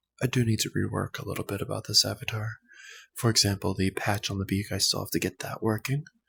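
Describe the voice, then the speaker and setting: A soft-spoken man talks with fairly even intonation, the sound dry and close with no echo in a very clean recording with a silent background. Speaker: ASMR creator. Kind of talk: soft-spoken ASMR ramble.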